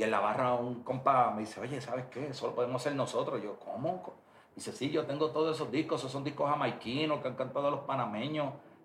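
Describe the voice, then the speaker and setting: Over noticeable background noise and audible room echo, a man speaks very fast at a fairly high pitch with ordinary pitch variation. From Puerto Rico (Bayamón). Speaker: reggaeton music producer. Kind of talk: interview.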